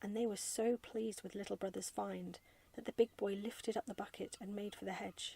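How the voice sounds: The recording carries a natural reading voice.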